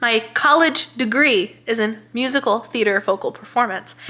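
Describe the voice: A bright, sharp tone with lively intonation. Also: woman.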